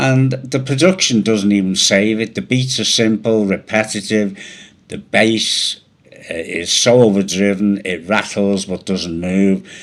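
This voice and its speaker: Noticeable background noise sits under a voice moving at a fairly slow pace with ordinary pitch variation. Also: man, fairly low pitch for a man. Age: 80s+. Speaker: video blogger. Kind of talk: rant. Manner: emphatic.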